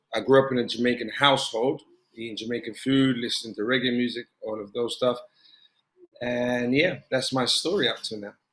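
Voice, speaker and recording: With a British accent, a man talks at a fairly quick pace and medium pitch, his intonation fairly even but his loudness swinging widely. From South London, England. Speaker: former professional footballer. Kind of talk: interview.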